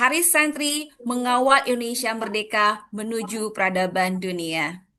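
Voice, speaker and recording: Over a quiet background, a woman projects a raised voice with a bright, sharp tone and lively intonation. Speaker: event moderator. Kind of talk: formal event opening speech. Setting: video call. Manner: formal.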